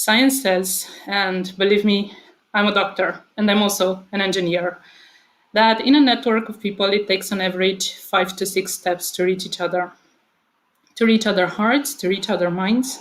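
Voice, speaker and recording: The speaker has a Romanian accent. The pace is moderate. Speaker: author and speaker at a book convention. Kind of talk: prepared speech. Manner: hesitant, with filler words.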